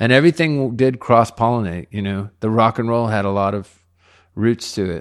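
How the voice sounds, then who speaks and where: Against a quiet background, a man talks in an ordinary speaking voice at a medium pitch. He moves at a fairly quick pace with ordinary pitch variation. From Laredo, Texas (US–Mexico border). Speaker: rock musician. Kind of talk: casual interview chat. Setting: dining room at a private home.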